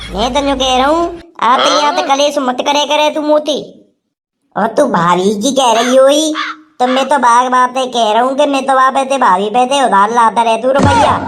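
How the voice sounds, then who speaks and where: A woman's high-pitched, cartoonish character voice at a fairly quick pace. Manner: wheedling, stammering.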